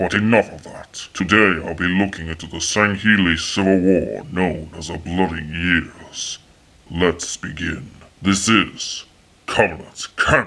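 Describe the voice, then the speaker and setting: A man's solemn, very deep, low put-on character voice at a fairly slow pace. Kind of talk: lore history narration. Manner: formal, solemn.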